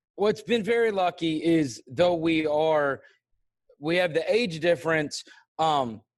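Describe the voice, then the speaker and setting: A man with an American accent and a plain, everyday voice speaks at a fairly slow pace and a fairly high pitch with ordinary variation, his loudness very even on a very clean recording with a silent background. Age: 40s. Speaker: sports podcast host. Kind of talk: casual interview.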